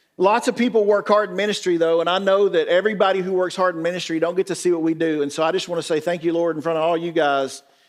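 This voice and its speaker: Speaking very fast in a Southern US accent, a man uses a high pitch with ordinary pitch variation. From rural West Tennessee. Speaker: pastor. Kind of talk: conference talk. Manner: animated.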